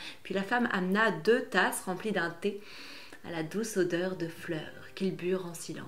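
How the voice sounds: A natural reading voice carries pitch that shifts in an ordinary way.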